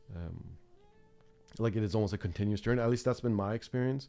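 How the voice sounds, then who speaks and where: A man's voice with ordinary pitch variation. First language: not English. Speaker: art teacher. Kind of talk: live stream chat. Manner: halting, many fillers.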